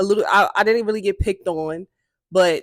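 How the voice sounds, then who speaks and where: On a very clean recording with a silent background and a dry, close sound with no echo, a woman speaks at a medium pitch with a bright, sharp tone and ordinary pitch variation. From Brooklyn, New York (Brownsville). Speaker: podcast host. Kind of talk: casual chat. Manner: casual, conversational. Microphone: new mic, unsure if it's audible.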